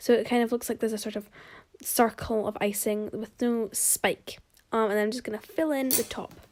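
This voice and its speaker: A woman with a fairly high voice and a British accent, fairly even intonation, and long, frequent pauses. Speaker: home baker, video creator. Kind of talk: baking tutorial. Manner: fast; casual, chatty.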